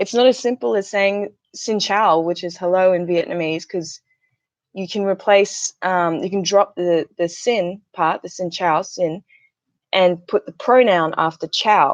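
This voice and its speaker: Against a quiet background with a dry, close sound and no echo, a woman talks at a fairly slow pace with an Australian accent. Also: medium pitch for a woman, ordinary pitch variation. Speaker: YouTuber and English teacher trainee. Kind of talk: casual livestream chat.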